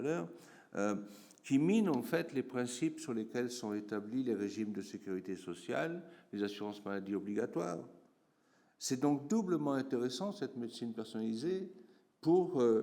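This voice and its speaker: A man talks at a moderate pace in a medium pitch, his tone dark and mellow. His intonation is lively, and room echo can be heard. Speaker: geographer professor. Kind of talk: conference talk. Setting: conference room with audience. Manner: hesitant, many fillers.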